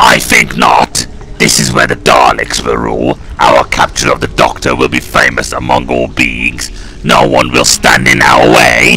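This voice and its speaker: Clear background noise behind a man's put-on character voice, moderately paced. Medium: audio drama.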